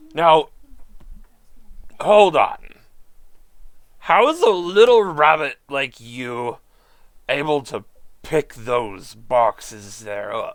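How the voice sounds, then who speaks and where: In a put-on character voice, a man speaks very slowly at a fairly high pitch with very wide pitch swings, big swings in loudness and long, frequent pauses. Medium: actual play. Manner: folksy, blunt.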